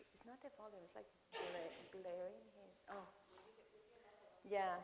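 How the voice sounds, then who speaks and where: A woman's medium-pitched voice at a fairly slow pace, with very wide pitch swings and big swings in loudness, plus audible room echo and noticeable background noise. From Venezuela (Caracas). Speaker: architect. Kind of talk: Q&A after a lecture. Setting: lecture hall with audience. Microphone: echoing sound system.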